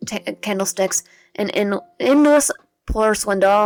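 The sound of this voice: In an unforced reading voice, the speaker reads against a quiet background.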